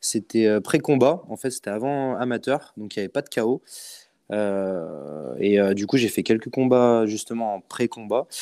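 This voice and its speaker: A man's dark, mellow tone at medium pitch comes through a very clean recording with a silent background, delivered at a fairly slow pace with ordinary pitch variation. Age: 20s. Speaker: boxer and coach. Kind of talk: casual chat.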